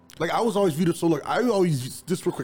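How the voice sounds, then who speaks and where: With an American accent, a man talks at a very fast pace over noticeable background noise. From East Chicago, Indiana. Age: 30s. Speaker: videographer. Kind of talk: casual chat.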